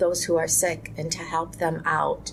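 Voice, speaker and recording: A woman at a moderate pace over noticeable background noise. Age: 50s. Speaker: Islamic community leader. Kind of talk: interview. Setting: podcast. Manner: reflective, earnest.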